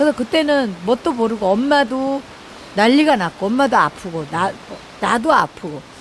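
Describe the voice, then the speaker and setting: A woman's high pitch with very wide pitch swings, at a moderate pace over noticeable background noise. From South Korea, Jeolla. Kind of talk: testimony. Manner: conversational, halting.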